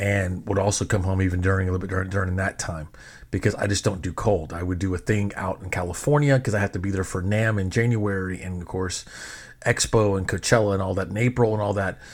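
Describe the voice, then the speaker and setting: Speaking very fast with an American accent, this somewhat breathy voice comes through on a very clean recording with a silent background. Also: man, very deep, low pitch for a man. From Texas. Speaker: podcast host, DJ and filmmaker. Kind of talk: casual storytelling monologue. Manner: animated.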